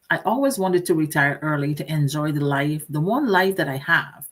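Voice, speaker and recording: Lively intonation marks a woman's very deep, low voice. The recording is very clean, with a silent background. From Guyana. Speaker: digital entrepreneur and business mentor. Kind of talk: live talk to camera, casual conversational.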